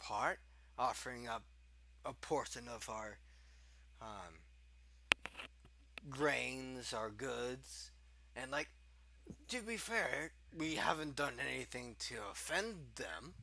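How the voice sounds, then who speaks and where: A man speaks in a put-on character voice, raspy and fairly slow, with long pauses that come often. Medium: actual play. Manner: halting, full of fillers.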